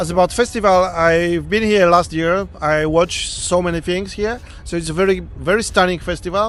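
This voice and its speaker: A man speaks at a moderate pace in a high voice, with a non-native accent. His intonation stays fairly even over noticeable background noise. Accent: foreign. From Poland. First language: Polish. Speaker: sculptor. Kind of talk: interview. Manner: halting.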